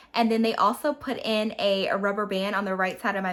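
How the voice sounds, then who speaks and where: With noticeable background noise around her, a woman speaks at a fairly quick pace with medium pitch. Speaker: beauty and lifestyle vlogger. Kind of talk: vlog monologue. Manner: casual, chatty.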